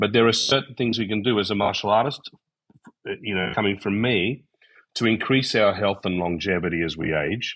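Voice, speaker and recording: A man speaks in an Australian accent at a fairly low pitch. His pace is fairly quick. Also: ordinary pitch variation. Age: 60s. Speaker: karate master. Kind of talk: podcast interview. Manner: hesitant, many fillers.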